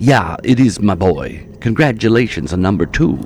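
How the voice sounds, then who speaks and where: A man's put-on character voice, fairly low in pitch, at a moderate pace over clear background noise. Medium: read story. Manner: rhyming, cocky, mocking.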